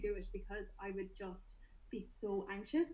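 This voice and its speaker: A woman with a Limerick accent. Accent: Irish, Limerick. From Limerick, Ireland. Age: 20s. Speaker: personal trainer and fitness influencer. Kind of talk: casual interview chat.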